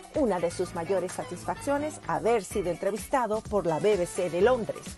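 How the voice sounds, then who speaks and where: Lively intonation rises and falls over music playing in the background. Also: woman. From Venezuela. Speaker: podcast host. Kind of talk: show introduction.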